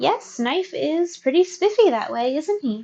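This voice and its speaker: A woman puts on a squeaky character voice at an extremely high pitch, her gentle, warm tone swinging very widely in pitch at a moderate pace. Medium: read story.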